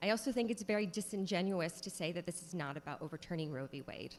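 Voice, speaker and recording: This woman speaks at a fairly quick pace with vocal fry. Her pitch is fairly low. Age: 30s. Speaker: state legislator. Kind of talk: legislative floor speech. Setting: state house chamber.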